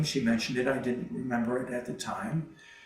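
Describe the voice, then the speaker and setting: A man with an American accent, medium pitch and fairly even intonation, with audible room echo and noticeable background noise. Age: 60s. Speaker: retired mail carrier. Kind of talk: interview testimony. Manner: halting, many fillers.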